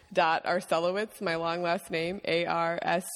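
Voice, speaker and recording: With noticeable background noise, a woman speaks in a monotone, flat intonation at a fairly low pitch. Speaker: guest. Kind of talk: casual chat.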